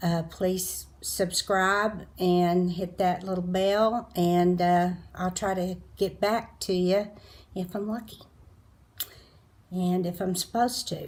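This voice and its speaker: A woman's fairly low, somewhat breathy voice with an American accent, very slow pace and fairly even intonation. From Colorado. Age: 60s. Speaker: beauty vlogger. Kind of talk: casual monologue while doing makeup. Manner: halting.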